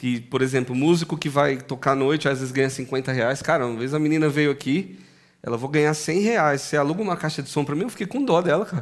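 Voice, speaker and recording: A man speaks very fast in a fairly high voice, and his pitch varies in an ordinary way. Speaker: podcast host; music teacher. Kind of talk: casual chat.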